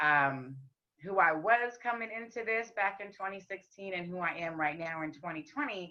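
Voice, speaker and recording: A woman speaks at a moderate pace. Her voice is raspy. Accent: American. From US West. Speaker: rapper and singer. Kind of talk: casual chat.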